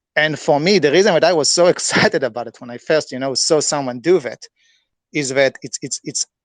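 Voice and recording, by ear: In a dry, close sound with no echo, a man with a non-native accent talks at a fairly quick pace in a fairly high pitch with ordinary pitch variation.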